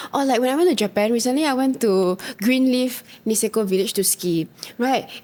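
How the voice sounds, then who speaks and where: A woman with a strong Singaporean accent speaks at a fairly quick pace, her fairly high pitch paired with a dark, mellow tone and lively intonation. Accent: Singaporean, very strong. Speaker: podcast co-host. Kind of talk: casual chat.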